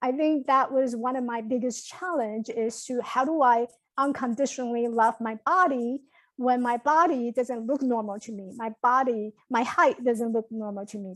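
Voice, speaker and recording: A woman's high-pitched voice with a Chinese accent, big swings in loudness, ordinary pitch variation and a moderate pace, on a very clean recording with a silent background. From Taiwan, moved to New York at 15. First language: Mandarin Chinese. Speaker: motivational speaker and coach. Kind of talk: podcast interview. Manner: halting.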